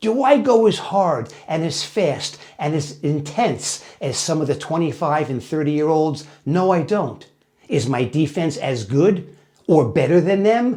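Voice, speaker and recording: Fairly high in pitch for a man, his voice has a dark, mellow tone, lively intonation and a fairly slow pace. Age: 70s. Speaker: jiu-jitsu practitioner and fitness video host. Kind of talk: motivational talk to camera. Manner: emphatic.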